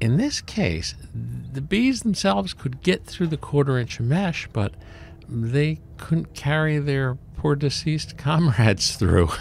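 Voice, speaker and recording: Somewhat breathy, fairly slow speech with very wide pitch swings. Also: man, fairly high pitch for a man. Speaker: beekeeper. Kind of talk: narrated tutorial. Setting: outdoors in cold weather. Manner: casual, with many fillers.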